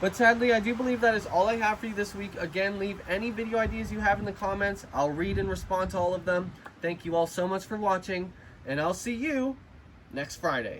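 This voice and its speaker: There is noticeable background noise. A man talks at a fairly quick pace with a high pitch. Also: ordinary pitch variation. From Canada. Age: 20s. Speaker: YouTuber renovating a house. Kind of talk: vlog walkthrough narration. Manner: casual, chatty.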